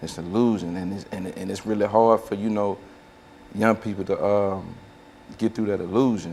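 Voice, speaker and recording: Fairly low in pitch, a man speaks at a moderate pace with long, frequent pauses. His intonation is monotone and flat. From Tennessee, Nashville. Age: 30s. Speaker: panel guest, former street life. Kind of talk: panel discussion testimony. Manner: halting, many repetitions.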